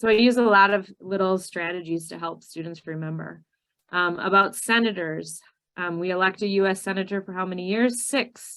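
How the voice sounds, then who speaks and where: A woman speaks with a Minnesotan accent. Her intonation stays fairly even. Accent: Minnesota. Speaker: ESL citizenship teacher trainer. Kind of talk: training webinar presentation.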